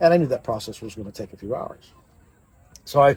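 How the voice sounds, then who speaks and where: Speaking very fast, a man uses lively intonation at fairly high pitch. His voice is somewhat breathy. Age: 60s. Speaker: political candidate. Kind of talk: interview storytelling.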